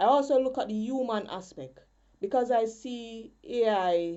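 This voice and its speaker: Speaking with a Jamaican accent, a woman goes at a very slow pace with lively intonation. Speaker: poet and spoken word artist. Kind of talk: conference presentation.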